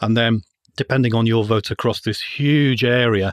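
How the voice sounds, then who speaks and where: With an English accent, a man speaks at a medium pitch and ordinary pitch variation. The recording is dry and close, with no echo. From England. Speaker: finance lecturer and libertarian writer. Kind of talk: interview.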